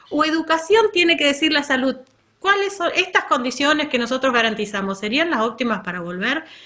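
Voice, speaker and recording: A woman's voice has a bright, sharp tone and very wide swings in pitch. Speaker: school supervisor. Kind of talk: workshop talk.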